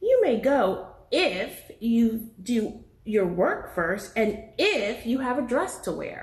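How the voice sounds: A woman speaks slowly in a put-on character voice, pitched fairly high. Her pitch swings widely, with audible room echo around her.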